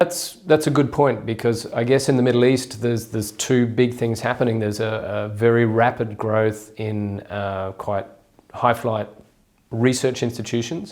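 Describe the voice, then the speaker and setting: An Australian accent comes from a man speaking at a medium pitch. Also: ordinary pitch variation, moderate pace. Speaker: journal editor, academic interviewer. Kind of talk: interview.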